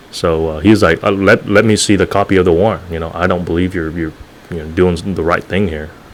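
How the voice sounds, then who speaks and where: Fairly quick speech with fairly even intonation, over noticeable background noise. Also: man. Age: young. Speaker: former police officer. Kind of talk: casual interview chat. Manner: hesitant, many fillers.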